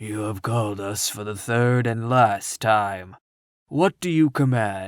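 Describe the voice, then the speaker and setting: Putting on a character voice, a man speaks at a medium pitch and a fairly slow pace. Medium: read story.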